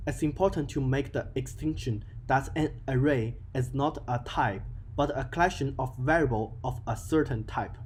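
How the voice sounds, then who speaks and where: Moderate-paced speech in a non-native accent, with vocal fry and ordinary pitch variation. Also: man. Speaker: game development tutorial creator. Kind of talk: software tutorial narration.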